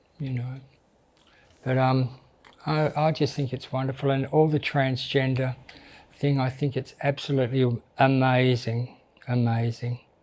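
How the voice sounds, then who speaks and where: Long, frequent pauses break up a man's speech at a fairly slow pace, in an Australian accent. His medium-pitched voice holds a monotone, flat intonation. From Australia, Melbourne. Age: 60s. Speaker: drag queen. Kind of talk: interview. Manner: halting.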